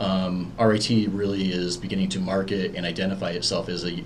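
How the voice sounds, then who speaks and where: In an American accent, a man speaks with a very deep, low pitch. Audible room echo surrounds his voice. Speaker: university program manager. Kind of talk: interview. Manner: hesitant, many fillers. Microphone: echo in room.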